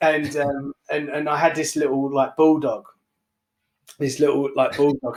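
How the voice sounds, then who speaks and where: A man with a London accent speaks at a moderate pace in a fairly high pitch. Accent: London English, noticed by New York buyers. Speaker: barbershop owner and entrepreneur. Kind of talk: podcast interview, telling his story. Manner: animated; hesitant with many fillers.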